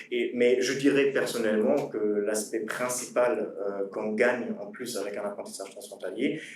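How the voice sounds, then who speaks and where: Over noticeable background noise and audible room echo, a man with a German accent speaks at a fairly slow pace. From Germany. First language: German (speaking French). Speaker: former cross-border apprentice, student. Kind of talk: panel talk. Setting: conference with audience. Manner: halting, many fillers.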